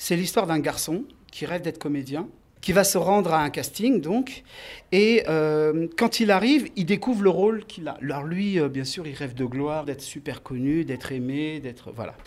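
A man with an ordinary speaking voice talks at a moderate pace in a fairly high pitch with lively intonation, on a very clean recording with a silent background. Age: 40s. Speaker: filmmaker. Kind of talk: interview.

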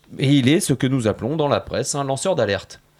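At a fairly quick pace, a man talks with a fairly high pitch and a dark, mellow tone. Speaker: radio columnist. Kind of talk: prepared radio portrait. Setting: radio studio. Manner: loud.

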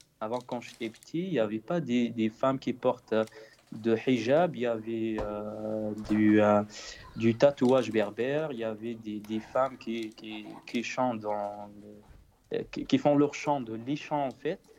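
Noticeable background noise sits behind a man speaking at a medium pitch. He goes very slowly, with ordinary pitch variation. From Morocco, central High Atlas. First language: Berber (Tamazight) (speaking French). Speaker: singer-songwriter. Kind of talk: interview. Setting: Skype call. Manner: halting, many repetitions.

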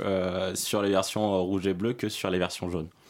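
Silence fills the background of this very clean recording. In it, a man talks at a fairly quick rate. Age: 20s. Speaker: YouTuber. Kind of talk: interview. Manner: halting.

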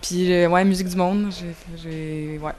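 With fairly even intonation, a woman speaks at a fairly low pitch. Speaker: drummer. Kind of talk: interview. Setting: music festival.

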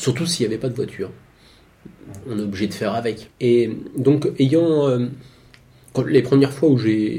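Dark, mellow, somewhat breathy tone at a fairly slow pace, with ordinary pitch variation and long, frequent pauses. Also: man, medium pitch for a man. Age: 40s. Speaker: cyclist moving house by bike. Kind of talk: casual interview.

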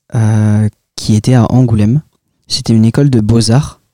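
The man's dark, mellow tone comes through a dry, close sound with no echo, his intonation fairly even. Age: young. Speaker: comic book author. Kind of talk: interview. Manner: hesitant, many filler sounds.

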